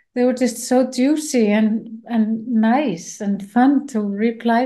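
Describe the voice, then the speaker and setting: A woman with an Icelandic accent, fairly high in pitch, in a dark, mellow tone with fairly even intonation, over a quiet background. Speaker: film director. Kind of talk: interview. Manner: halting.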